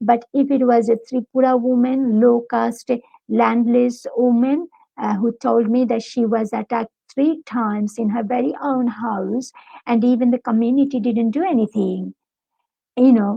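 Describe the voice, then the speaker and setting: Speaking with a Bengali accent, a woman keeps fairly even intonation. Her pitch is high and her pace moderate. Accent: Bengali accent in English, noticeable. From Bangladesh. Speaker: academic, university lecturer. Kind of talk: interview.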